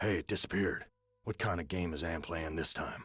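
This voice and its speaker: Using a put-on character voice, a man speaks raspy and weary at a fairly quick pace, his pitch very deep and low. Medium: video game. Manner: bitter, world-weary, sardonic.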